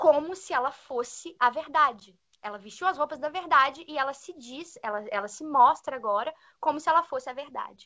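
Her voice is bright and sharp, high-pitched, raised and projected, with lively intonation. The loudness swings widely from moment to moment. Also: moderate pace. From Brazil, Minas Gerais. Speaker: podcast co-host, former au pair. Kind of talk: casual chat.

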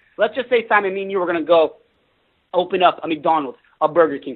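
Talking at a very fast pace, a man with a high voice sounds animated, his intonation lively. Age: 20s. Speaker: network marketing entrepreneur. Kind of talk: interview.

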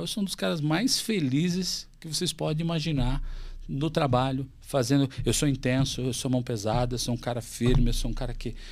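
A man with a plain, everyday voice speaks at a moderate pace with lively intonation. The recording is very clean, with a silent background. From Santa Catarina, Brazil (Chapecó). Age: 40s. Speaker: company CEO. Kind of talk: interview conversation.

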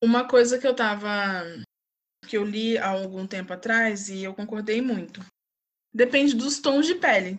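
A woman with a fairly high pitch talks at a moderate pace, with ordinary pitch variation, big swings in loudness and long, frequent pauses. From Brazil, Volta Redonda (Rio de Janeiro state). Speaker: TV station worker, communications graduate. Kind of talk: casual interview. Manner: halting, many fillers.

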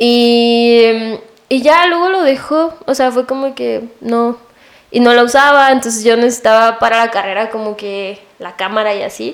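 With a plain, everyday voice, a woman speaks at a fairly slow pace, her pitch fairly high and its variation ordinary. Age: 20s. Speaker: photographer and visual arts student. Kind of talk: casual interview chat.

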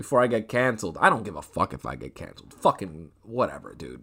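A man's medium-pitched voice, bright, sharp and animated with vocal fry, moves at a fairly quick pace. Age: 20s. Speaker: podcast host. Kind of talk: casual chat.

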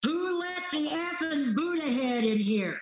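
Shouting in a high-pitched, raspy, gravelly put-on character voice at a fairly slow pace, the speaker is heard with audible echo. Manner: shouting, hostile.

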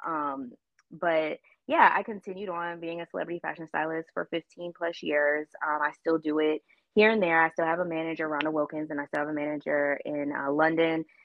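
Speaking with an American accent, a woman uses a very deep, low pitch at a fairly quick pace with fairly even intonation. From Baltimore, Maryland, US. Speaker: fashion stylist and creative director. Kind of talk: casual chat.

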